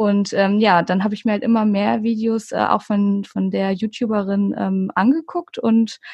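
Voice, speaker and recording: A somewhat breathy woman's voice with a dark, mellow tone, ordinary pitch variation and a fairly slow pace, against a quiet background. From Hamburg, northern Germany. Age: 30s. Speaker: ASMR YouTuber. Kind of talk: casual interview.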